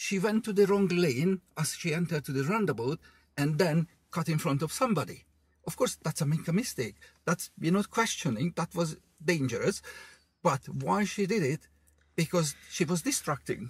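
This man's voice sits high for a man, moving at a moderate pace with a dry sound and no echo. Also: lively intonation. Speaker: driving instructor. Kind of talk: casual chat. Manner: animated.

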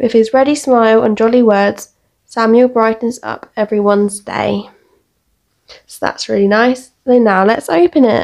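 The speech goes at a moderate pace with fairly even intonation over a quiet background. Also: woman. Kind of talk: unboxing commentary. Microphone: phone near.

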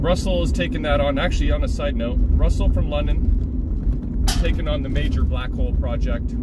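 The sound is dry with no echo, though loud background noise is present. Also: man. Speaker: pinball hobby vlogger. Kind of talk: casual vlog chat. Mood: relaxed, joking. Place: car. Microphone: phone near.

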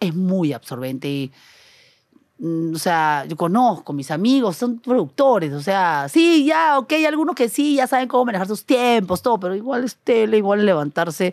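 An energetic tone at a moderate pace on a very clean recording with a silent background. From Peru, Trujillo. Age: 40s. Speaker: TV and YouTube producer. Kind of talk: casual chat.

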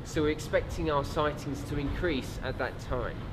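Noticeable noise fills the background. The man's pitch varies in an ordinary way. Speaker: wildlife survey guide. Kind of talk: interview answer. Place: boat.

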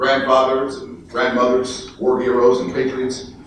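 This man's voice carries strong room echo over light background noise. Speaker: actor and voice actor. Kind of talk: inspirational keynote speech to an audience. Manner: call-and-response with the audience, rhetorical, energetic. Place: hall. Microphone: pa.

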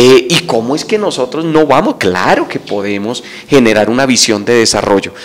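The pace of this man's speech is moderate. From Colombia, Boyacá (Sogamoso); Boyacá, Colombia. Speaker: political candidate; candidate. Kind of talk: interview. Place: studio. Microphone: handheld.

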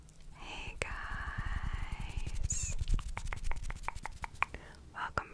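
A woman whispers. She leaves long, frequent pauses. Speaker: ASMR creator. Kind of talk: casual book review talk to camera. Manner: whispered. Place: home room. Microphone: studio mic.

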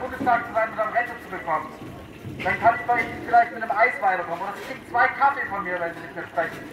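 A man at an extremely high pitch and a very fast pace, over noticeable background noise. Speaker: protest speaker standing on a box at a market square, debating a politician. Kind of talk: loud street protest speech, confrontational address to a politician. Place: market. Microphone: camera far.

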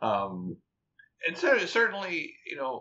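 At a fairly slow pace, a man speaks. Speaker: rum and cocktail writer, former software engineer; guest. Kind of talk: long-form interview. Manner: halting, many fillers and repetitions. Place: home room. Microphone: webcam.

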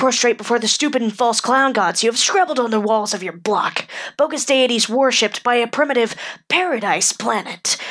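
A female-sounding, put-on character voice comes through at a high pitch. It moves at a fairly quick pace. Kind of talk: character monologue. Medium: dub. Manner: angry, contemptuous.

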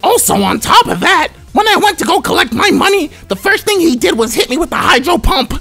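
Over clear background music, a man does a put-on character voice at an extremely high pitch and a fairly quick pace. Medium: comedy sketch. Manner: smug, stern.

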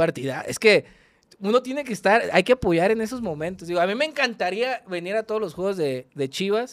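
A man with a high pitch talks at a fairly quick pace with lively intonation over a quiet background. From Culiacán, Sinaloa, Mexico. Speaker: online content creator and football fan. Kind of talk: casual chat. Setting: studio, in person. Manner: animated, profane, laughs often. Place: studio. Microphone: studio mic.

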